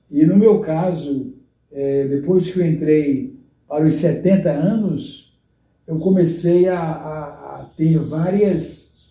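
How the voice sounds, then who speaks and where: In a room with audible echo, a man with a fairly high pitch and a dark, mellow tone speaks very slowly, his pitch varying in an ordinary way. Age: 70s. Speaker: retired pastor. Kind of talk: interview. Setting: at home.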